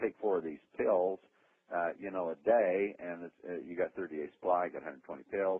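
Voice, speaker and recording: The speaker is a man with a fairly low pitch. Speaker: company founder presenting products. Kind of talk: sales pitch on a conference call. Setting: phone conference call. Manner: fast; enthusiastic, with many fillers.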